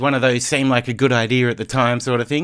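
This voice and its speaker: Over a silent background in a very clean recording, a man speaks with an Australian accent. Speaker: DJ. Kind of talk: live stream commentary. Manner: casual, filler-heavy.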